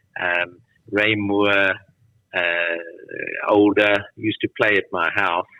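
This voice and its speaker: A man's fairly low, monotone, flat voice at a very slow pace, broken by long, frequent pauses. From South Africa, Johannesburg. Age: 70s. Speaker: tennis camp founder and former player. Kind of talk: interview conversation.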